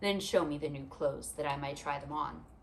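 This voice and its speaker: Putting on a gruff character voice, a woman speaks at a fairly quick pace with a very deep, low pitch, and background noise is clearly heard. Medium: read story. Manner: solemn, gruff.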